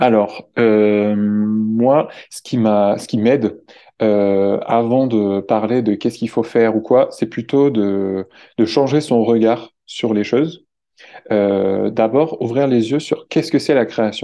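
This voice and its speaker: The man speaks at a very slow pace. His intonation is fairly even. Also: medium pitch for a man. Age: 20s. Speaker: environmental volunteer ambassador. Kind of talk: interview. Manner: halting, many repetitions and fillers.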